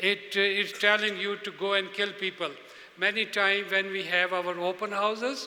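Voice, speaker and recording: This man has a high pitch and speaks at a moderate pace in a raised, projected voice. His intonation is monotone and flat. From Pakistan. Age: 70s. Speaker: speaker at a religious convention. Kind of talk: speech to an audience. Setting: stage with audience.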